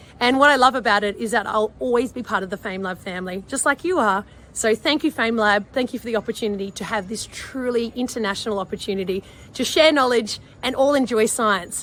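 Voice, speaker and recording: Animated and very fast, a woman with an Australian accent talks at a fairly high pitch with ordinary pitch variation. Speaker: marine scientist. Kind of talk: recorded video message.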